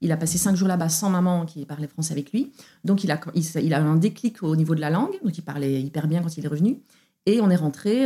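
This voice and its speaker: A fairly low-pitched woman's voice with a dark, mellow tone, ordinary pitch variation and a fairly quick pace. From Belgium. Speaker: opera singer. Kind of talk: testimony. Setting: at the host's home.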